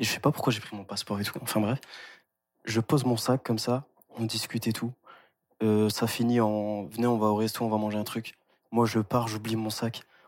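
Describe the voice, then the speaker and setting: A very clean recording with a silent background captures a man speaking at a medium pitch in a monotone, flat intonation, with long, frequent pauses. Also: moderate pace. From France. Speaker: university student. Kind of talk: casual chat.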